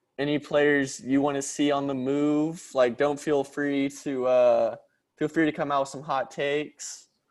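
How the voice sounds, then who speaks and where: A man with an American accent, fairly high pitch and monotone, flat intonation, in a very clean recording with a silent background. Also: fairly slow pace. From Dallas, Texas. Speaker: podcast co-host. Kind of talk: casual chat.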